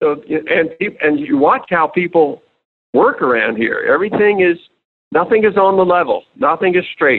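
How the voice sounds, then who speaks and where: A man with an American accent and a high pitch speaks at a moderate pace, his loudness very even while his pitch swings very widely. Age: 70s. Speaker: financial writer and investment research founder. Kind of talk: casual interview conversation. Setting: remote call.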